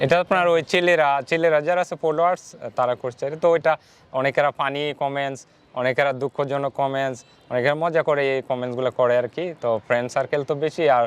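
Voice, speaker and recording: This is a man with a plain, everyday voice at a fairly high pitch. The intonation is fairly even, and the sound is dry and close with no echo. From Bangladesh, Kishoreganj (Bajitpur). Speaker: advocate's clerk and content creator. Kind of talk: interview.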